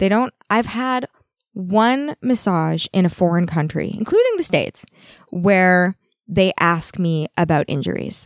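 With a Canadian accent, a woman speaks at medium pitch with lively intonation in an unremarkable speaking voice. The recording is very clean, dry and close, with a silent background and no echo. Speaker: massage therapist. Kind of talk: casual chat. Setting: studio.

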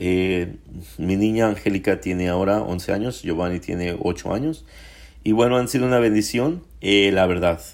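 A man's fairly low voice at a moderate pace, a normal speaking voice. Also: ordinary pitch variation. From Mexico, Puebla. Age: 40s. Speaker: podcaster sharing faith story. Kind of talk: personal testimony monologue.

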